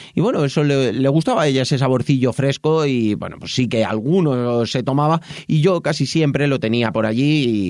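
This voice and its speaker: Speaking at a moderate pace, a man uses an unremarkable speaking voice and ordinary pitch variation. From Madrid, Spain. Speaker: podcast host and tea shop owner. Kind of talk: casual personal monologue. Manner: warm, conversational.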